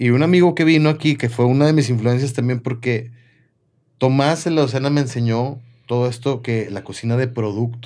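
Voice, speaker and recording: Against a quiet background, a man with a medium pitch and a dark, mellow tone talks at a fairly quick pace with fairly even intonation. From Mexico, Comarca Lagunera (Torreón); Mexico. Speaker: chef and restaurant owner; guest. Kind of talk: casual chat. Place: studio. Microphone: studio mic.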